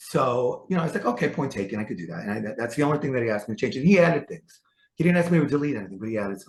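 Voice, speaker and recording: Talking at a very fast pace in a New York accent, a man uses lively intonation with big swings in loudness. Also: medium pitch for a man. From New York City. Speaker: author. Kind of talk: interview. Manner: halting.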